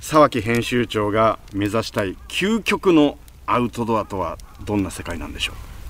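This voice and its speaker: Speaking at a moderate pace, the man's loudness swings up and down a lot. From Japan, Gunma (Kusatsu). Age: 50s. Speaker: radio podcast host. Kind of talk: interview.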